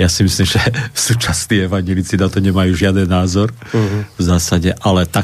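Over noticeable background noise, a man with a very deep, low pitch speaks at a fairly quick pace with very even loudness and monotone, flat intonation. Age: 60s. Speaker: Lutheran pastor and historian. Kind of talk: radio interview.

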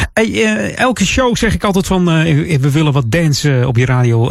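Against noticeable background noise, a man with an upbeat, warm tone talks at a moderate pace with very wide pitch swings. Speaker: radio host. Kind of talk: radio dj patter. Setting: radio studio. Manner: chatty and relaxed, easy-going; upbeat with warm festive cheer.

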